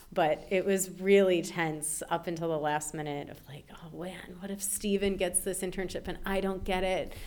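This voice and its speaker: With hardly any pauses, a woman in an American accent speaks in a monotone, flat way while her loudness swings widely. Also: medium pitch for a woman, moderate pace. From Chicago, US Midwest. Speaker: English language teacher. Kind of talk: casual interview.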